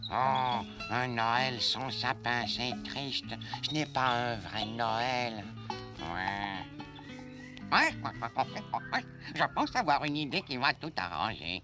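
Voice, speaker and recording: A man's put-on character voice at medium pitch, very slow pace, clear music in the background. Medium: read story. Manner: brisk, authoritative when commanding.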